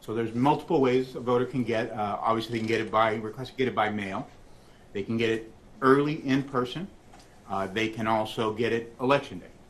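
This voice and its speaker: Audible room echo surrounds a man of medium pitch who talks at a fairly quick pace. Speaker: election official testifying as witness. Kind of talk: court testimony. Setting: courtroom. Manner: fast.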